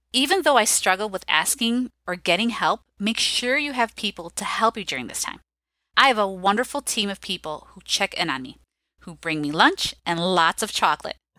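A woman with an American accent and medium pitch speaks at a moderate pace, with very wide pitch swings, big swings in loudness and a bright, sharp tone. The recording is very clean with a silent background, and the sound is dry and close with no echo. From Chicago. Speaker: school counselor. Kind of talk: interview.

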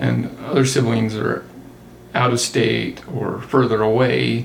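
The speaker talks at a fairly slow pace in a Utah accent, with audible room echo and noticeable background noise. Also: man. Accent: Utah American. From southern Utah. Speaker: accountant. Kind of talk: casual chat.

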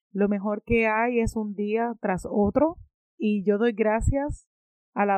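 Ordinary pitch variation in a normal speaking voice. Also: woman. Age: 30s. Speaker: podcast host. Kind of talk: motivational monologue.

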